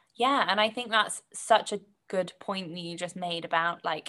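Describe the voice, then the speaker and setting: A woman with a British accent, bright and sharp in tone, at a moderate pace with ordinary pitch variation, in a very clean recording over a silent background. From Britain. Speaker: podcast guest. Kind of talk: casual chat.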